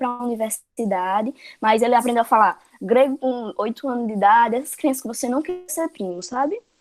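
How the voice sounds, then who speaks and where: A woman talks at a fairly quick pace with a high pitch and ordinary pitch variation. The sound is dry and close, with no echo. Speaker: teacher. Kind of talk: lecture.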